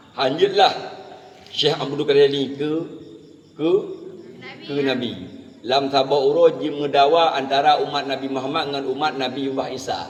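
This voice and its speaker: With an Acehnese accent, a man with a fairly high pitch and fairly even intonation talks at a moderate pace over noticeable background noise. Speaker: Islamic preacher. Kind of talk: humorous sermon. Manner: relaxed, jokey.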